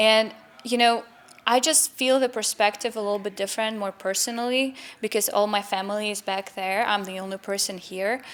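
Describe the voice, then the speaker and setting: At a fairly quick pace, a woman speaks with fairly even intonation and a fairly high pitch. Noticeable background noise can be heard. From Ukraine. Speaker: community organization member. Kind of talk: interview.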